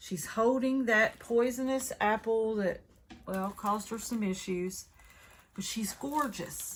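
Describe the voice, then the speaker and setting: In a Southern US accent, a somewhat breathy voice speaks at a very slow pace. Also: woman, fairly high pitch for a woman, ordinary pitch variation. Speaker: craft video creator. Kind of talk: product unboxing review. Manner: casual, chatty.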